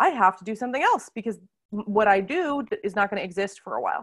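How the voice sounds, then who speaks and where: A woman with a normal speaking voice, fairly high-pitched, with an American accent and a fairly quick pace. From United States. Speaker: wine teacher. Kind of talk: casual interview chat.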